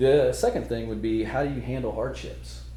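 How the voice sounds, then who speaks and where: A man in an American accent at a fairly quick pace, with noticeable background noise and audible room echo. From Oklahoma. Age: 40s. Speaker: motivational speaker. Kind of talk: conference talk. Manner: loud.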